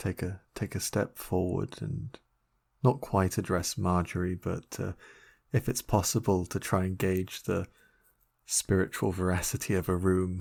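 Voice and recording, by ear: Low-pitched with vocal fry, a man speaks at a fairly slow pace in a slightly mellow tone with little pitch movement.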